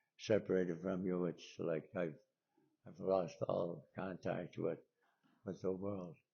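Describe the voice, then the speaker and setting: A man talks at a moderate pace with a very deep, low pitch. His intonation stays monotone and flat. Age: 90s. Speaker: retired priest. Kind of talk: address to congregation.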